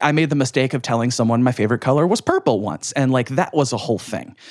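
In an ordinary speaking voice, a man talks at a fairly quick pace and medium pitch with ordinary pitch variation. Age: 30s. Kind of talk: casual interview.

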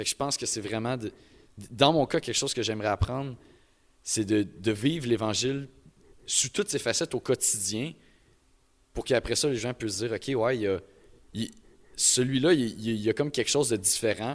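On a very clean recording with a silent background, a man speaks at a moderate pace in a medium pitch. His pitch varies in an ordinary way, with long, frequent pauses. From Quebec, Beauce. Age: young. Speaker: CEGEP student. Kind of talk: live panel discussion. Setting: live event with audience.

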